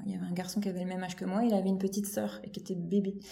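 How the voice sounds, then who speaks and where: A woman with a medium pitch talks at a fairly quick pace with fairly even intonation. Noticeable background noise and audible room echo fill the recording. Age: 30s. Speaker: children's creative drawing teacher. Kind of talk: casual chat. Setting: at the host's home. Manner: halting.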